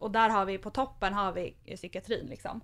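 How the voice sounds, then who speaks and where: A woman has an unremarkable speaking voice with ordinary pitch variation. She speaks at a moderate pace in a very clean recording with a silent background. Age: 20s. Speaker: nonprofit youth mental health worker. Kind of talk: casual interview. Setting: studio.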